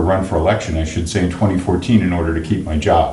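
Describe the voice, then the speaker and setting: A man with a General American accent speaks with fairly even intonation, with audible room echo and noticeable background noise. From Pennsylvania. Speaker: county finance official. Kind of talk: interview.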